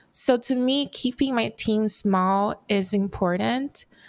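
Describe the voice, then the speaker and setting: A woman's fairly even intonation comes through on a very clean recording with a silent background. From Brazil, raised in Los Angeles. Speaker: furniture designer. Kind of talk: interview.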